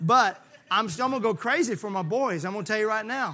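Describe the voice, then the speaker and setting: A man's voice is raised and projected, with a bright, sharp tone. He moves at a fairly quick pace. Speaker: pastor. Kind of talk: sermon. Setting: church. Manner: loud; animated.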